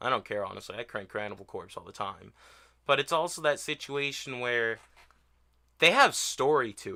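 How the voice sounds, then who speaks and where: A man with a fairly high pitch and a bright, sharp, animated tone speaks at a moderate pace, his loudness swinging widely, on a very clean recording with a silent background. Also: ordinary pitch variation. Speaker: music reaction youtuber. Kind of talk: casual rant to camera. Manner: slurred speech from medication; rambling, animated.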